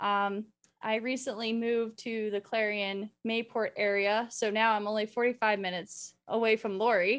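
In a western Pennsylvania accent, the speaker talks at a moderate pace with monotone, flat intonation on a very clean recording with a silent background. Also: woman, fairly high pitch for a woman. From western Pennsylvania (Butler, near Pittsburgh). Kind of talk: casual chat.

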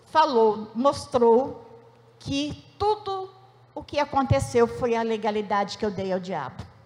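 A woman talks while a noticeable amount of noise carries on behind her. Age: 60s. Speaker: church member giving testimony. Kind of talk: testimony.

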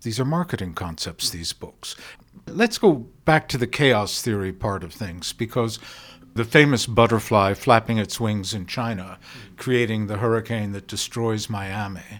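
On a very clean recording with a silent background, a man speaks in a normal speaking voice at a fairly slow pace, with a medium pitch, ordinary pitch variation and big swings in loudness. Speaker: podcast host. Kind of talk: interview.

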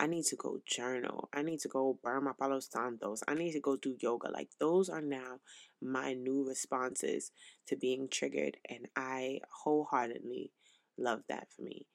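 On a very clean recording with a silent background and a dry, close sound with no echo, a woman speaks at a moderate pace in an animated tone with a very deep, low pitch. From New York. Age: 20s. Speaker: podcast host. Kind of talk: casual monologue. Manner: loud.

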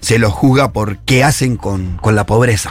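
In a normal speaking voice, a man talks at a medium pitch and moderate pace with ordinary pitch variation. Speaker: social activist columnist. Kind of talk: radio column discussion.

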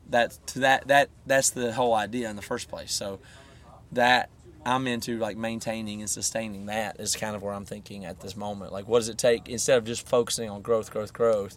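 A man's ordinary speaking voice at medium pitch, fairly quick in pace, with fairly even intonation and big swings in loudness. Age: 30s. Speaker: rock band guitarist. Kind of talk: casual interview.

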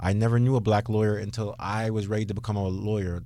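A man with a Toronto accent speaks at a very fast pace, his fairly low-pitched voice dark and mellow in tone. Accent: Toronto Canadian English. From Canada, Brampton near Toronto. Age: 30s. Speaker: lawyer. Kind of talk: radio interview.

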